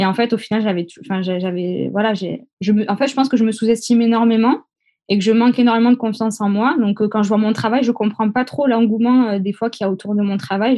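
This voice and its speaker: Fairly high in pitch and moving at a fairly quick pace, this woman has ordinary pitch variation and an unremarkable speaking voice. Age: 20s. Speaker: event decorator. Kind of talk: interview.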